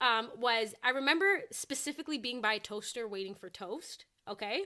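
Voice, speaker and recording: High in pitch, a woman's voice sounds bright and sharp. Her intonation is lively and her loudness swings widely. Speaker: fitness content creator. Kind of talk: casual chat. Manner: fast.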